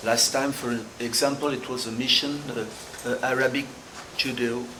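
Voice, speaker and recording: With a French accent, a man speaks at a moderate pace in a medium pitch and a monotone, flat intonation, amid noticeable background noise and audible room echo. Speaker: activist group chairman. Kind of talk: panel discussion. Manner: halting.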